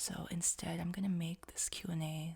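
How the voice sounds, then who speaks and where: A quiet woman speaks with vocal fry at a fairly low pitch. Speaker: ASMR creator. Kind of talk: casual Q&A rambling. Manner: quiet, sleep-aid volume.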